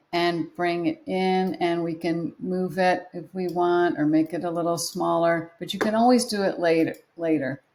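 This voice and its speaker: With a plain, everyday voice, a woman speaks at a moderate pace and fairly low pitch, her intonation fairly even and hardly any pauses breaking it up. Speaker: photography teacher. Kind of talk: tutorial.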